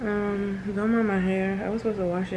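The intonation is monotone and flat. Noticeable background noise is heard. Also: woman. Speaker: new mother vlogger. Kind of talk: casual vlog chat. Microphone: phone near.

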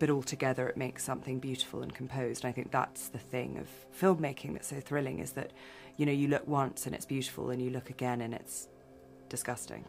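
A woman talking at a very fast pace over faint background music. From England. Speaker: film director. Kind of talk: interview answer.

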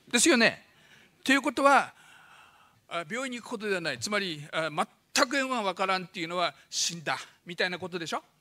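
Over a quiet background, a man speaks in a raised, projected voice at a very fast pace, high-pitched with a bright, sharp tone and very wide pitch swings. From Fukushima, Japan. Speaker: doctor giving a public lecture. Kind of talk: lecture. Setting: stage with audience. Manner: fast talker. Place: hall. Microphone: podium.

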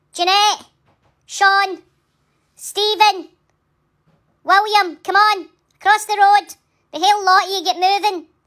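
A woman's put-on character voice, extremely high-pitched, monotone and flat, at a fairly slow pace with long, frequent pauses. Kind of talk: comedic voice-over. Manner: scolding, loud.

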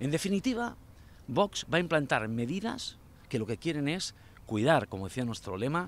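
The man's voice sounds dry, with no echo at all. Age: 50s. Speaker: local election candidate; election candidate. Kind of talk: campaign interview. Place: waterside. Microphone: handheld.

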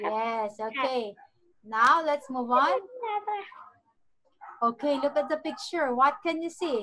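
A woman's high pitch and lively intonation over a quiet background. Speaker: online English teacher. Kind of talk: children's language lesson. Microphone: video call.

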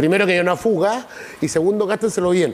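This man talks at a very fast pace in a Chilean accent. His pitch is high, with ordinary pitch variation. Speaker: city councillor. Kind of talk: TV interview. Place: studio. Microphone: lapel.

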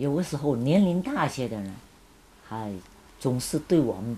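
A woman's very deep, low, somewhat breathy voice with a dark, mellow tone, very wide pitch swings and a fairly slow pace, over light background noise. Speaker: former student sent to countryside, witness; witness. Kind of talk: interview testimony. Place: home room.

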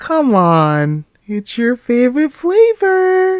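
A put-on character voice, female-sounding and high-pitched, delivered at a very slow pace with very wide pitch swings. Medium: dub.

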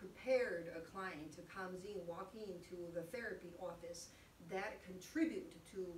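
Over light background noise and audible room echo, a woman talks at a moderate pace with ordinary pitch variation. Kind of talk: informational panel talk. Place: office. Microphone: camera far.

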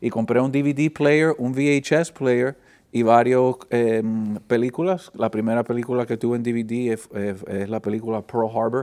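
Against a quiet background, a man talks at a fairly slow pace. His intonation stays fairly even. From Miami, Florida (Flagami); Florida. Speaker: film professor. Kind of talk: interview. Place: studio.

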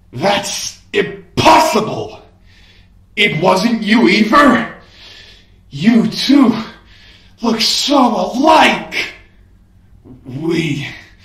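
Using a put-on character voice with a high pitch, a man speaks at a very slow pace with long, frequent pauses and a slight echo. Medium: audio drama. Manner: shouting, enraged.

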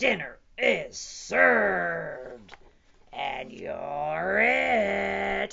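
A woman's put-on character voice, bright and sharp, at a medium pitch with vocal fry, big pitch swings and a very slow pace

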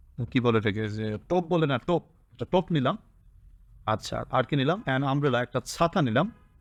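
Against a quiet background, a man speaks at medium pitch with lively intonation in a dry, close sound with no echo. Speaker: English tutor. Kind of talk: lecture.

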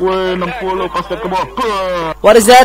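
Noticeable background noise accompanies a man talking in a high voice. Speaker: squad leader in online military game. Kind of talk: casual gameplay commentary with team callouts. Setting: voice chat while gaming.

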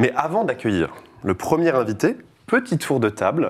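With a normal speaking voice and lively intonation, a man talks at a fairly slow pace. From France, Tours. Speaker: podcast host. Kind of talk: casual chat.

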